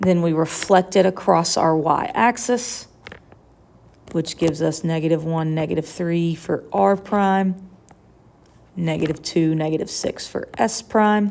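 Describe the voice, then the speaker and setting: A woman speaks in a normal speaking voice at a fairly slow pace. Her pitch is fairly low, with ordinary pitch variation. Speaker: high school math teacher. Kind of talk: lecture. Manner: casual.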